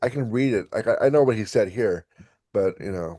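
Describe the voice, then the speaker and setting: Fairly low in pitch, a man talks in a dark, mellow tone at a moderate pace with ordinary pitch variation. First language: German. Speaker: English teacher. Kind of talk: casual chat.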